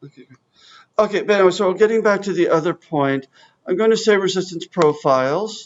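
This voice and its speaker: The voice moves at a fairly quick pace with big swings in loudness. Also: man, high pitch for a man, ordinary pitch variation. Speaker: software trainer. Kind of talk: software demonstration workshop.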